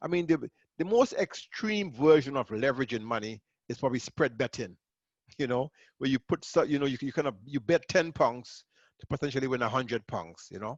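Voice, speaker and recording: A man with a Caribbean accent talks at a fairly quick pace in a fairly high pitch, his intonation lively. The sound is dry and close with no echo, over a quiet background. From Grenada. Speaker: accountant and entrepreneur. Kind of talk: webinar presentation. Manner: casual, repetitive.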